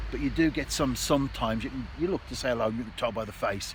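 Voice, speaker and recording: Over noticeable background noise, the man's speech moves at a fairly quick pace. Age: 60s. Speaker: vlogger. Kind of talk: casual vlog monologue. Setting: outdoors.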